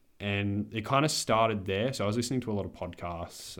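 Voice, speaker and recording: A man with an Australian accent talks at a very fast pace. The recording is very clean with a silent background. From Australia, Adelaide. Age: 20s. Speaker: podcast co-host. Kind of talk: casual chat.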